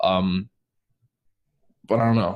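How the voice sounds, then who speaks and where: A man with a slight New York accent speaks at a moderate pace. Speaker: podcast host. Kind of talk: casual interview chat.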